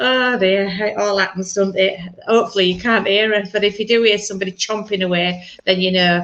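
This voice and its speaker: At a moderate pace, the woman talks in a bright, sharp tone. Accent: Yorkshire. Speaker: minister leading church service. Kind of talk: online church service.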